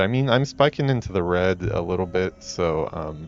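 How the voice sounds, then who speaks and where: With an American accent, a man speaks at a very deep, low pitch and a moderate pace. His intonation is lively, and the background is quiet. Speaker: game developer and streamer. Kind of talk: let's play commentary. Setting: solo stream in a room. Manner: laid-back; halting, many fillers.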